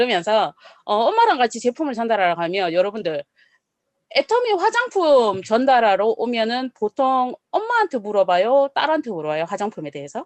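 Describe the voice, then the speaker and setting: Talking at a fairly quick pace in a Gyeongsang accent, a woman with a fairly high pitch and animated tone swings her pitch very widely, heard in a dry, close sound with no echo. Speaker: network marketing speaker. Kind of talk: business presentation.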